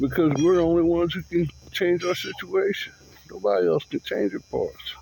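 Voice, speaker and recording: Noticeable background noise sits under this man's fairly quick delivery. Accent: American. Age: 60s. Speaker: vlogger. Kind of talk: personal monologue.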